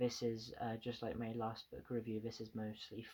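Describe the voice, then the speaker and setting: The voice has a dark, mellow tone and moves at a fairly slow pace in a monotone, flat delivery. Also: man. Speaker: book reviewer. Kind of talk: casual review to camera. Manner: stuttering, repeats words; halting with many fillers.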